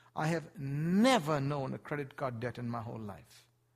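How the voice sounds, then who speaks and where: A somewhat breathy male voice, fairly high in pitch, with ordinary pitch variation. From Asia. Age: 50s. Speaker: missionary preacher. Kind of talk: sermon. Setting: church.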